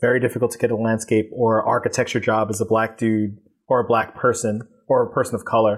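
A man talks at a very fast pace in a monotone, flat delivery, on a very clean recording with a silent background. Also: medium pitch for a man. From New York, Queens. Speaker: photographer and publisher. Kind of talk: interview.

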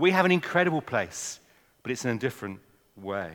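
With an English accent, a man at a medium pitch talks at a moderate pace, his voice swinging very widely in pitch and showing vocal fry. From England. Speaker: mission leader speaking at a church. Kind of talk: talk to a church audience. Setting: church with audience. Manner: informal, chatty.

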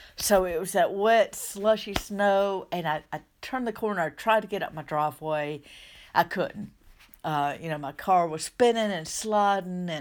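A woman talks in a Southern US accent at a medium pitch with ordinary pitch variation. She goes at a fairly slow pace on a very clean recording with a silent background. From US South. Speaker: minister and life coach. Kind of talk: solo podcast talk. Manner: conversational, hesitant with restarts.

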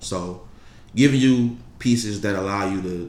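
Fairly even intonation marks this man's speech, heard with audible room echo. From Detroit, Michigan. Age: 20s. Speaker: clothing brand founder. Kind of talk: casual interview.

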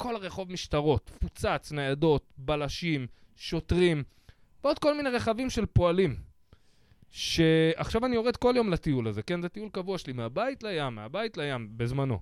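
The recording is dry and close with no echo as a man speaks at a moderate pace, his high voice moving in very wide pitch swings. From Israel, Bat Yam. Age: 40s. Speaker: podcast host, comedian. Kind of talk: casual chat.

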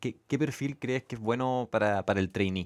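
A man with a Chilean accent in a very clean recording with a silent background. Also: dry, close sound with no echo. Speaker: podcast host, venture fund director. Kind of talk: casual interview chat.

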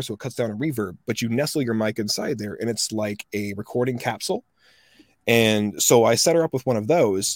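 On a very clean recording with a silent background and a dry, close sound with no echo, a man with an American accent uses an unremarkable speaking voice at medium pitch, a fairly quick pace and ordinary pitch variation. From US South. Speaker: voice actor. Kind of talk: casual interview chat.

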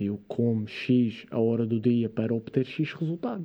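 It is a normal speaking voice with ordinary pitch variation. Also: man. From Madeira, Portugal. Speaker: fitness and science content creator. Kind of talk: casual interview. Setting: studio.

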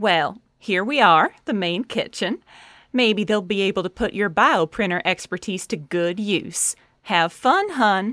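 A woman speaks in a normal speaking voice at medium pitch and a fairly slow pace, with ordinary pitch variation, in a very clean recording with a silent background and a dry, close sound with no echo. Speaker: cheerful company event coordinator character. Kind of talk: scripted audio drama performance. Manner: sweet, motherly, southern-flavored, chirpy.

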